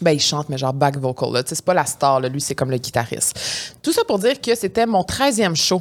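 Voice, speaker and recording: A woman speaks in a very deep, low voice at a fairly quick pace. Her pitch swings very widely. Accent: Quebec. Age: 30s. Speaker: podcast co-host. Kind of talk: casual chat.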